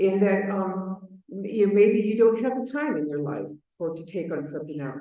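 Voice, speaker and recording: With an American accent and lively intonation, a woman speaks amid audible room echo. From Chicago, US Midwest. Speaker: advocacy manager at a patient organization. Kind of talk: conference presentation.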